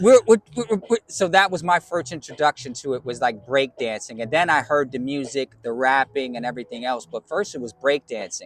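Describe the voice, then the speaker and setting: A man with a New York accent talks at a fairly quick pace and fairly high pitch with lively intonation and hardly any pauses, in a dry, close sound with no echo. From New York (Bronx). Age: 50s. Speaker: DJ. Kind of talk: interview. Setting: community college campus.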